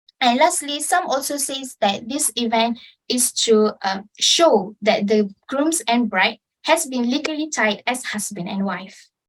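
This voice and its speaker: Her voice sits high in pitch, with lively intonation. The woman talks at a fairly slow pace. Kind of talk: informative club speech.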